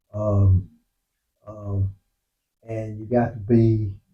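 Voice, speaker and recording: Somewhat breathy, a man speaks at a medium pitch. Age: 60s. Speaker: motorcycle vlogger. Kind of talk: casual monologue. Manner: halting.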